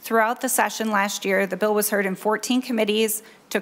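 A woman at a moderate pace, her pitch fairly high. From US Midwest. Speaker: state senator. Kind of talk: bill presentation. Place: hall. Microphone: podium.

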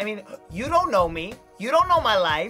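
A man with faint music in the background. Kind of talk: confessional commentary. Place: booth.

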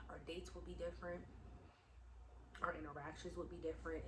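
A woman's voice over noticeable background noise. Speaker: vlogger. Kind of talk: casual vlog chat. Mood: earnest, encouraging, frank. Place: home room. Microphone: phone near.

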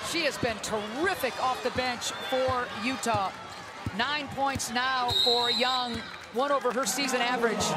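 Over noticeable background noise, a man with an extremely high pitch speaks in a raised, projected voice at a fairly slow pace, with very even loudness and ordinary pitch variation. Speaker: play-by-play commentator. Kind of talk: live sports commentary. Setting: arena broadcast.

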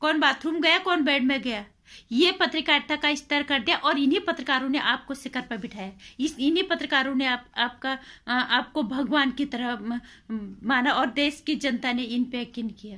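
A woman's raised, projected voice, bright and sharp in tone, at a fairly slow pace with ordinary pitch variation over a quiet background. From India. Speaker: video blogger / commentator; vlogger. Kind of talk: opinion monologue. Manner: animated. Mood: indignant, scolding. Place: home room. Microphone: phone near.

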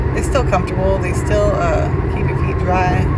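Loud background noise runs throughout. The words come at a moderate pace. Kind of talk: casual vlog chat. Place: car. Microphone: phone near.

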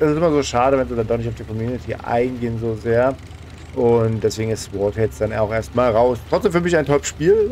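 Noticeable background noise surrounds a man speaking. His pace is fairly quick and his intonation lively. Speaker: gaming YouTuber. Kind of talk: let's play commentary. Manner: fast. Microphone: current microphone, new one ordered.

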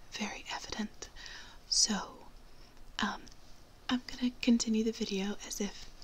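A woman whispering at a fairly slow pace. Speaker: vlogger. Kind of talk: casual vlog chat. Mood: amused, laughing at mishap. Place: home room. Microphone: phone near.

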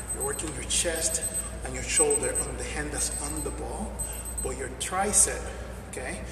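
Moderate-paced speech from a man amid audible room echo and noticeable background noise. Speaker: fitness trainer. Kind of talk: tutorial. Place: gym. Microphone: camera far.

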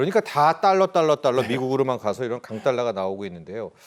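Very wide pitch swings from a man, captured on a very clean recording against a silent background. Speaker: news program host. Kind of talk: news interview.

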